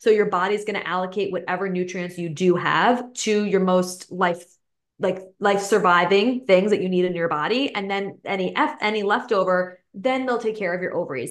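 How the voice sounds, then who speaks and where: A woman speaks in a plain, everyday voice at a fairly quick pace with hardly any pauses. Her pitch is medium, with ordinary pitch variation. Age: 30s. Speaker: holistic nutritionist. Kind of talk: casual interview.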